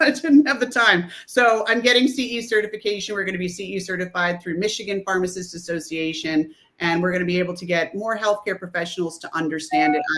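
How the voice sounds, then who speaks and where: A woman's very fast speech with hardly any pauses, set against noticeable background noise. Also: medium pitch for a woman, ordinary pitch variation. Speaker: pharmacist and author. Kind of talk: interview. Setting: livestream. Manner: halting.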